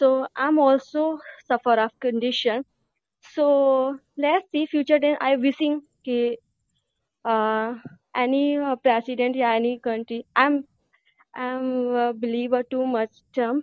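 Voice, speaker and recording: A woman speaks at a very slow pace in a high voice, with fairly even intonation and long, frequent pauses. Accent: Indian. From India. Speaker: caller. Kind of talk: phone-in discussion. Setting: phone call. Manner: halting.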